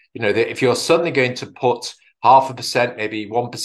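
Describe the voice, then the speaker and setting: A man in a British accent speaks at a medium pitch and moderate pace, with ordinary pitch variation. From UK. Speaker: health policy expert. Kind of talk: conference presentation. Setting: video call.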